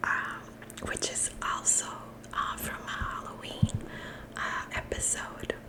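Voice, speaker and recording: Whispering from a woman, with noticeable background noise behind it. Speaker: ASMR creator. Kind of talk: ASMR show-and-tell. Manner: whispered.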